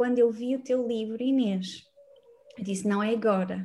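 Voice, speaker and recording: Speaking at a moderate pace, a woman has a fairly high pitch and a dark, mellow tone. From northern Portugal, Braga. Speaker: numerology mentor. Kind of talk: casual interview.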